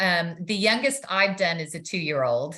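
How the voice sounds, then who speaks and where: A woman talks with a slight Texan accent at medium pitch. Her tone is bright and sharp, and her intonation is lively. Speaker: nurse practitioner. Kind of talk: interview. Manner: hesitant, many fillers.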